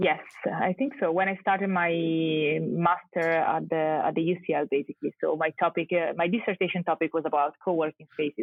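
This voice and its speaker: Speaking at a moderate pace, a woman with an Italian accent uses a fairly low pitch and ordinary pitch variation. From Italy. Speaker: architect and urban researcher. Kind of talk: podcast interview. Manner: halting.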